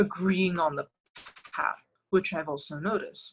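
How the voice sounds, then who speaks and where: Somewhat breathy, a woman speaks at a fairly slow pace, her medium pitch showing ordinary variation. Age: 20s. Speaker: political candidate and lecturer. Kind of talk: interview, political discussion.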